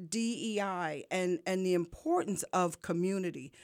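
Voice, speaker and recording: The speaker has an American accent and talks at a fairly slow pace. The recording is very clean, with a silent background. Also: woman. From New York. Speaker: nonprofit founder and community leader. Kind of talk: radio interview. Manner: animated.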